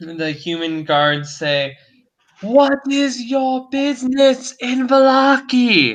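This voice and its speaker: A man speaks at a very slow pace in a put-on character voice, his pitch extremely high. His pitch swings very widely. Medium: actual play. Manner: suspicious, questioning.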